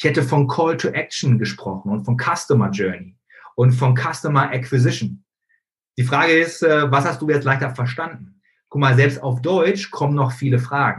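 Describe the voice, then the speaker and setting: Here a man talks at a moderate pace with a medium pitch. His voice is somewhat breathy, with ordinary pitch variation. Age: 30s. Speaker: facebook marketing coach. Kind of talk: online training webinar. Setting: live stream with screen sharing.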